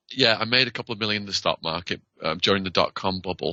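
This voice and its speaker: Fairly quick speech from a man in a British accent. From northern England. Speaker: former prisoner, author. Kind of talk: interview.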